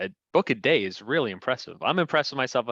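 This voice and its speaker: A man with an American accent has a bright, sharp tone with vocal fry, recorded with a dry, close sound with no echo against a quiet background. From New Jersey (Fair Lawn). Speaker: local politician. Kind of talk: casual chat.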